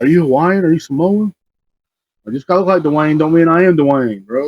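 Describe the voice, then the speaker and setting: A man with a slight Southern US accent speaks in a fairly high voice. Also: ordinary pitch variation. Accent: slight Southern drawl. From Texas, Marble Falls. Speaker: podcast co-host, jiu-jitsu practitioner. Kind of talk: casual chat.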